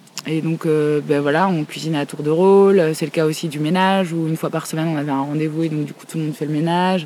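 A woman with a very deep, low pitch talks very fast in a flat monotone, hardly pausing, over noticeable background noise. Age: 30s. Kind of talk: interview.

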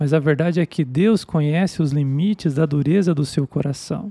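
A fairly slow delivery in a very clean recording with a silent background. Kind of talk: sermon addressed directly to Jonah. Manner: urgent, pleading, commanding preacher in full flow; forceful, exhorting, rhetorical.

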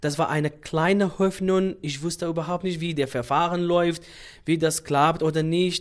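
Heard on a very clean recording with a silent background, a man with a Kurdish accent speaks in a high pitch and a monotone, flat intonation at a moderate pace. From Iraqi Kurdistan, Sulaymaniyah. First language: Kurdish (speaking German). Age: 30s. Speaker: doctor. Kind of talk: interview.

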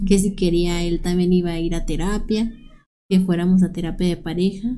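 With audible room echo, a woman speaks at a medium pitch and moderate pace with fairly even intonation. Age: 30s. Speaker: domestic violence survivor sharing her story. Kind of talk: personal testimony in interview.

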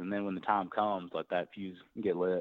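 A man is speaking. He has a Tennessee accent. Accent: Southern US (Tennessee). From US South, Tennessee (near Nashville). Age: 20s. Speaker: professional boxer. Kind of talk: interview.

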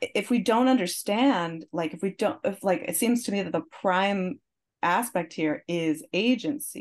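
Using a normal speaking voice, a woman at medium pitch talks fairly slowly with lively intonation. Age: 40s. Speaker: musician. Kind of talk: casual chat.

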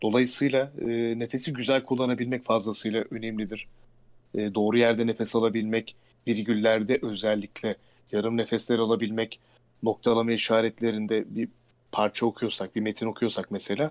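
This man speaks at a moderate pace. His intonation stays monotone and flat. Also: dry, close sound with no echo. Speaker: announcer and voice actor. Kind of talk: casual interview.

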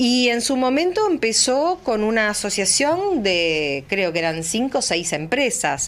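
Over noticeable background noise, a woman with a fairly high pitch speaks at a fairly slow pace, her voice making very wide pitch swings. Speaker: former agricultural market director, chamber of commerce secretary. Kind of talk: radio interview. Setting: radio studio, also streamed live.

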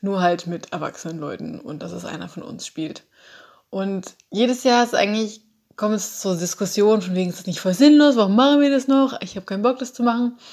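A woman with a plain, everyday voice talks at a fairly quick pace with lively intonation and big swings in loudness. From Saxony, Dresden. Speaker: flatmate of host. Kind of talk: personal account.

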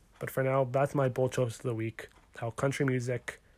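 At a fairly quick pace, a man with a Western Canadian accent speaks at medium pitch in a monotone, flat intonation. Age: 20s. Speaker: podcast host. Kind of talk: casual sports podcast talk.

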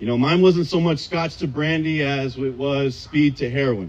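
Lively intonation from a somewhat breathy man with an American accent. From Southern California. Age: 30s. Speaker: AA speaker. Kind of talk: recovery testimony. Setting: outdoors in a park, audience.

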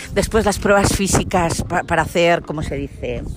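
A woman speaks at a moderate pace with ordinary pitch variation. There is noticeable background noise. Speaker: podcaster. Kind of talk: casual personal storytelling monologue.

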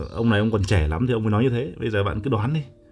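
Over noticeable background noise, a man speaks at a very fast pace with a medium pitch. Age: young. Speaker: livestreamer. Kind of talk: casual livestream chat with viewers. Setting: live stream on Facebook. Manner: halting, many fillers.

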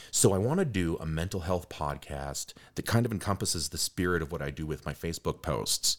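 With hardly any pauses, a man talks at a fairly quick pace in a very deep, low voice with ordinary pitch variation. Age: 40s. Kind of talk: casual conversational interview. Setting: studio, in person.

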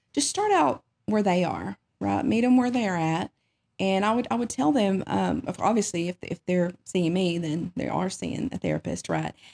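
A woman at a moderate pace, in dry, close sound with no echo. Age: 40s. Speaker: therapist. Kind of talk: interview.

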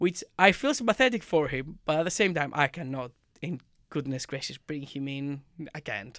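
Over a very clean recording with a silent background, a man with a fairly high pitch speaks at a moderate pace with lively intonation. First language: not English. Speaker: football podcast co-host. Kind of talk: casual chat.

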